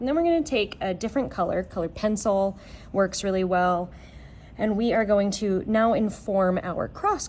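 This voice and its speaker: Here is a woman with a normal speaking voice at a medium pitch. She speaks at a moderate pace with lively intonation. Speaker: art teacher. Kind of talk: tutorial.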